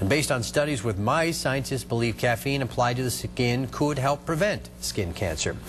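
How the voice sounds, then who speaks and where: Over noticeable background noise, the speech runs at a moderate pace with ordinary pitch variation. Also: man. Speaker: TV news anchor and field reporter. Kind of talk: TV news anchor read and studio banter.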